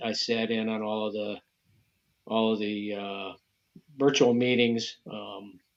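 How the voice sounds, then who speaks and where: Against a quiet background, a man with an American accent talks at a fairly slow pace, his fairly low voice set in a monotone, flat intonation. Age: 60s. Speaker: bow hunting association president. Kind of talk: podcast interview.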